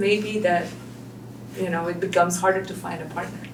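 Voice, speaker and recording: A woman at medium pitch with fairly even intonation, audible room echo and noticeable background noise. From Belgium. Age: 30s. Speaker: single mother and business owner. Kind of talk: interview. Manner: hesitant.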